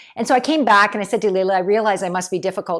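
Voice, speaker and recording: A woman at a very fast pace, on a very clean recording with a silent background. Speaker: keynote speaker and leadership consultant. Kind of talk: talking-head video monologue.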